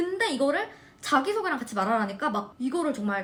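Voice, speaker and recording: Her tone is animated, with very wide pitch swings and a high pitch. The woman speaks at a fairly quick pace. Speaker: nursing student vlogger. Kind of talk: casual chat.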